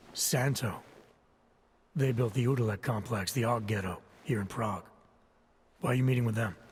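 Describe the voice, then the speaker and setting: A man puts on a raspy character voice at medium pitch with ordinary pitch variation. He talks at a fairly quick pace, his loudness very even. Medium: video game. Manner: terse, gravelly, understated.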